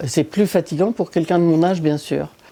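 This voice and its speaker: Her voice sits fairly low for a woman, with a dark, mellow tone and ordinary pitch variation. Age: 70s. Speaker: video game player. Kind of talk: gameplay commentary.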